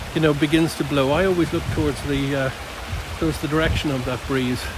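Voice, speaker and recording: There is noticeable background noise as a man with a fairly high pitch and ordinary pitch variation speaks in a dry sound with no echo. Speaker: nature observation vlogger. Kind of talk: outdoor walking vlog narration. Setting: outdoors in woodland nature reserve. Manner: hesitant, many fillers; speaking quietly. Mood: calm, reflective, appreciative. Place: forest. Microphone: phone near.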